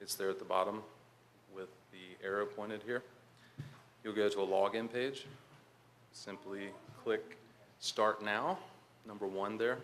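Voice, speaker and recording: Southern US accent, fairly even intonation and a fairly slow pace, with long, frequent pauses and audible room echo. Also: man, fairly low pitch for a man. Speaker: conference speaker, health IT manager. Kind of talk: conference presentation. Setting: conference hall with audience. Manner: hesitant, many fillers.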